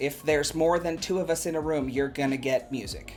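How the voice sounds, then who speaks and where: A man with a normal speaking voice talks at a fairly quick pace with fairly even intonation. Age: 40s. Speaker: college professor and singer. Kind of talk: interview. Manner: formal.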